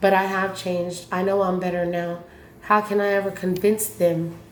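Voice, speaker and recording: The woman's delivery is monotone and flat, at a moderate pace and medium pitch. Room echo is audible around her voice. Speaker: recovering addict and former prisoner. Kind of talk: casual vlog talk; reading own poem aloud.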